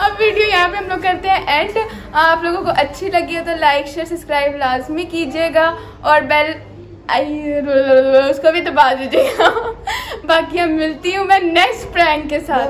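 Delivery comes at a fairly slow pace with ordinary pitch variation. Light background noise sits underneath. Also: woman, extremely high pitch for a woman. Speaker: prank vlogger. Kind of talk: casual vlog chat. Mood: cheerful, amused. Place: home room. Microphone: phone near.

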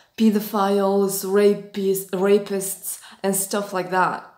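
A woman at a very slow pace, with audible room echo over a quiet background. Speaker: spiritual astrology vlogger. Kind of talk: lecture-like vlog talk. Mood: earnest, intense. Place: home room. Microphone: phone near.

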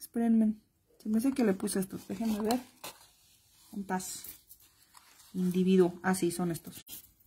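A woman's somewhat breathy voice with ordinary pitch variation, in a very clean recording with a silent background. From Mexico, Guadalajara. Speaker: crafts instructor. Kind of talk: live-stream craft tutorial. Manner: chatty, affectionate.

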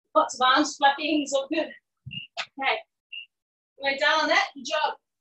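A high-pitched woman's raised, projected voice, bright and sharp in tone, at a fairly slow pace amid audible room echo. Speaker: fitness instructor. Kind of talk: live-cued workout class instruction, counting down intervals. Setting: video call. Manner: brisk, encouraging coaching cues between exercises; upbeat, cheering. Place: garden.

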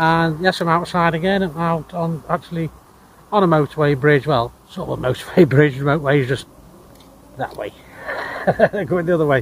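At a fairly quick pace, a man talks with ordinary pitch variation in dry sound with no echo, with light background noise behind him. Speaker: tech vlogger. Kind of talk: casual vlog chat. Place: street. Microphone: phone near.

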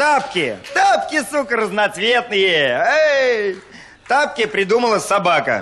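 A man uses a raised, projected voice at a very slow pace. His pitch swings very widely. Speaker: stand-up comedian. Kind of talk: stand-up comedy monologue. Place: stage. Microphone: handheld.

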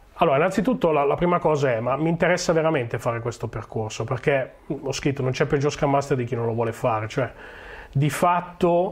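A man speaks at a fairly high pitch with ordinary pitch variation over noticeable background noise. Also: fairly quick pace. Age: 40s. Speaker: agile coach. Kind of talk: conference talk. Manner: hesitant, many fillers.

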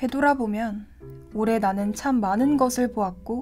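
A woman speaks at a fairly slow pace and a fairly high pitch, with ordinary pitch variation. Music plays in the background. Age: 20s. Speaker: university student narrator. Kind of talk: scripted narration.

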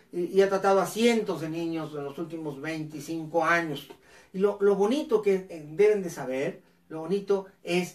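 With an animated tone, a man speaks at a high pitch and ordinary pitch variation. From northern Mexico, Ciudad Cuauhtémoc, Chihuahua; Chihuahua. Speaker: educator and live show host; educator, live show host. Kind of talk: live educational talk show. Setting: live online broadcast on camera. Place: home room.

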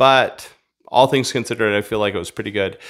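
Over a quiet background, a man talks with fairly even intonation. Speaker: vlogger. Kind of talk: casual vlog chat. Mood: relaxed, reflective. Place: home room. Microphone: studio mic.

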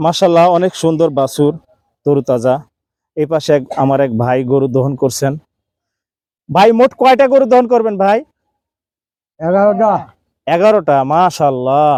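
A man's fairly high, dark, mellow voice with very wide pitch swings. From Bangladesh, Pabna district. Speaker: chef and YouTube vlogger. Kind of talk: vlog narration. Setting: outdoors in fields. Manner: enthusiastic.

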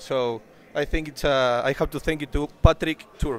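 This man has an Argentine accent and a fairly high pitch. His intonation is fairly even. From Argentina. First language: Spanish. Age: 20s. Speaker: bodybuilder. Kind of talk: casual interview. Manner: halting.

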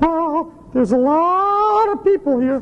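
A man uses a put-on character voice at an extremely high pitch. He speaks fairly slowly over light background noise.

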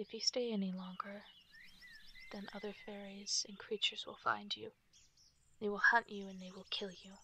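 Gentle in tone, a woman speaks at a moderate pace with long, frequent pauses and big swings in loudness. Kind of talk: asmr roleplay storytelling. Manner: soft-spoken, gentle, intimate whisper-like roleplay delivery.

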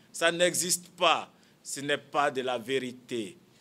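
A man's fairly high, bright and sharp voice with ordinary pitch variation. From Côte d'Ivoire. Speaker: politician, former student leader; politician. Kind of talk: press conference. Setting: press conference room. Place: meeting room.

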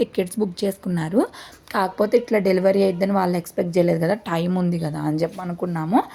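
This woman has a normal speaking voice at a medium pitch. Her pitch variation is ordinary. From Chirala, coastal Andhra Pradesh. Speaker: family vlogger. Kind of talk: casual vlog narration.

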